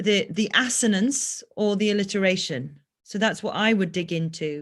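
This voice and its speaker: A woman speaks with a Welsh accent. Her pitch varies in an ordinary way. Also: quiet background. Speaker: voice coach. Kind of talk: tutorial. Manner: halting.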